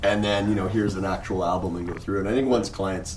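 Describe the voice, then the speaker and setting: A man with a Canadian accent speaks at a very fast pace, with a fairly low pitch and fairly even intonation. Noticeable background noise is present. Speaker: wedding photographer and podcast co-host. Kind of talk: casual panel discussion. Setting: hotel room at a convention, group recording.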